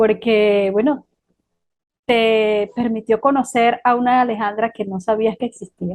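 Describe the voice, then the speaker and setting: A woman's fairly high pitch, monotone and flat in intonation, at a fairly slow pace. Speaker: podcast host, interviewer. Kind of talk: interview.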